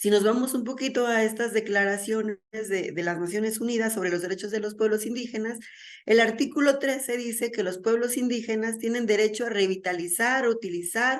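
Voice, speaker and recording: A woman with a fairly high voice talks at a fairly quick pace with hardly any pauses and fairly even intonation. There is audible room echo. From Mexico. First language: Mazahua (speaking Spanish). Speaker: conference speaker. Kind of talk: lecture.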